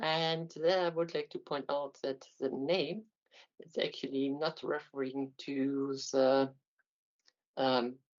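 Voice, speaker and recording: Very slow speech with a German accent, broken by long, frequent pauses. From Germany, Aachen. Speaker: university lecturer, mathematician. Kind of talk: lecture. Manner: halting, many fillers.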